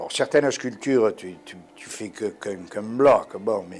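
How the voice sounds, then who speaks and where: A man with a Corsican accent speaks at a very slow pace. Music plays in the background. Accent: warm Corsican. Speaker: sculptor. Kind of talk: interview answer. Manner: casual, hesitant.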